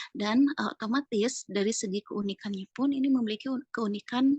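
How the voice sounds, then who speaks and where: A woman speaks at a fairly high pitch and a fairly quick pace. Her pitch varies in an ordinary way, and the sound is dry and close with no echo. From West Java (Sundanese). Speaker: art teacher. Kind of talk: interview. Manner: hesitant, many fillers.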